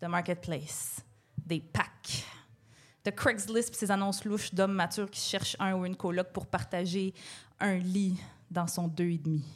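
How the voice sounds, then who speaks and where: A woman speaks fairly slowly at medium pitch, somewhat breathy, with fairly even intonation and long, frequent pauses. The recording is very clean, with a silent background. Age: 30s. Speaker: podcast co-host. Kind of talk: comedy monologue. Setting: stage with audience.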